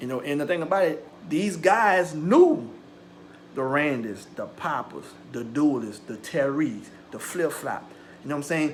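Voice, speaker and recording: Lively intonation comes with an American accent, the loudness swinging widely. Long, frequent pauses fall amid audible room echo. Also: man, fairly high pitch for a man. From US South, St. John Parish, Louisiana. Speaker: YouTuber. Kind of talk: personal storytelling. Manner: fast; animated.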